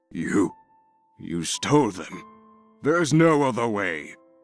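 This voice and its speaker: In a raspy put-on character voice, the speaker moves at a fairly slow pace with very wide pitch swings as faint music plays in the background. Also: man, medium pitch for a man. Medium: video game. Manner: stern, authoritative, condescending.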